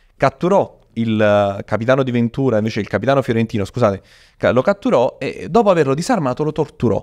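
Speaking at a fairly quick pace over a quiet background, a man lets his pitch swing very widely. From Italy. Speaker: history storyteller and content creator; history storyteller, content creator. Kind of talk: casual chat with storytelling. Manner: animated. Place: studio. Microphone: studio mic.

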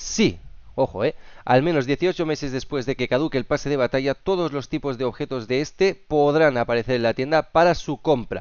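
Speaking at a moderate pace, a man has a fairly high pitch and ordinary pitch variation. His tone is animated. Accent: Castilian. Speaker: gaming youtuber. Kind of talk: video commentary.

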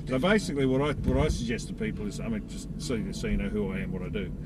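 A man talks at a very fast pace while music plays in the background. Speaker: driving instructor. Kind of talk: briefing instructions. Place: car. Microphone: camera far.

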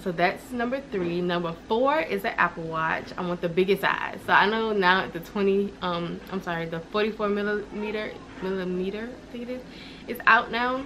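A woman speaks at a moderate pace with ordinary pitch variation. Light background noise sits under her voice. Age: 20s. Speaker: lifestyle vlogger. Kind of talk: casual vlog. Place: home room. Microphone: camera far.

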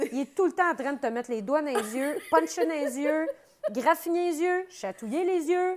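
In a Quebec accent, a woman talks at a high pitch and a moderate pace with lively intonation and an animated tone, while noticeable background noise sits behind her. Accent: Québécois French. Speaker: comedian and mother; comedian. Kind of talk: casual chat. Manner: animated, laughing. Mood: animated, joking storytelling. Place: studio.

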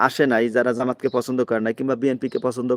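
A man with a plain, everyday voice speaks at a medium pitch in a dry, close sound with no echo. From Bangladesh, Magura. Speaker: migrant worker vlogger, political commentator. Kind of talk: live-stream political commentary. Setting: live stream from abroad.

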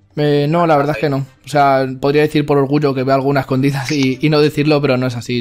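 A man with a fairly high voice talks at a very fast pace in a monotone, flat delivery. Music plays in the background. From Spain. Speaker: anime YouTuber. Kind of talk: interview answers.

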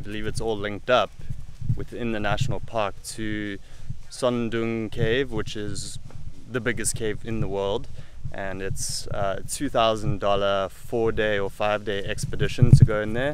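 A man talks at a fairly slow pace with fairly even intonation. The sound is dry with no echo, though noticeable background noise comes through. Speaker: travel vlogger. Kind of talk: casual vlog chat. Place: waterside. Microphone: phone near.

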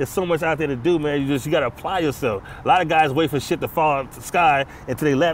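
A man with an American accent talks at a very fast pace. The sound is dry with no echo, with light background noise behind him. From Los Angeles, California. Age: 40s. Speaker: former prisoner, author. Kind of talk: casual interview. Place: stadium.

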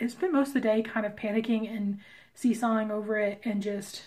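Here a woman speaks at a fairly high pitch. Her voice is somewhat breathy. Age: 30s. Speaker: comic artist vlogger. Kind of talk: casual vlog talk to camera.

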